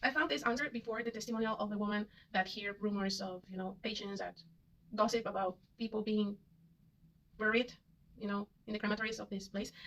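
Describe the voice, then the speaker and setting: Against noticeable background noise, a woman with a fairly high pitch talks at a fairly quick pace, with fairly even intonation and long, frequent pauses. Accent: Spanish. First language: Spanish. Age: 30s. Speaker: vlogger. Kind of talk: casual monologue. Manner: halting, many fillers and repetitions.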